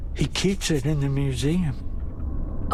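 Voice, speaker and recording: A man in a put-on character voice over loud background noise. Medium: machinima. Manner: poetic, reflective.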